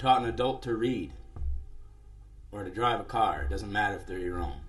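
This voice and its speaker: With a man speaking in an American accent, audible room echo hangs around the words. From US Midwest. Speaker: musician and live show host. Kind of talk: live stream monologue. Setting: live internet stream.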